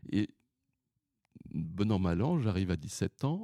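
Dry and close with no echo, the recording captures a man's dark, mellow tone. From Paris region, France. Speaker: retired opera singer. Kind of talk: interview.

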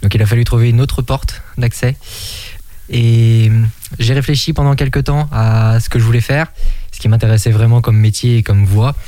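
A man's medium-pitched voice at a moderate pace, fairly even in intonation, broken by long, frequent pauses, over noticeable background noise. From Maine-et-Loire, western France. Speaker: antiques dealer. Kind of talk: radio interview.

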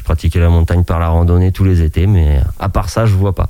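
Noticeable background noise sits under a man who talks very fast. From France, Maine-et-Loire (Anjou). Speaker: shepherd. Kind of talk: radio interview. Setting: radio studio.

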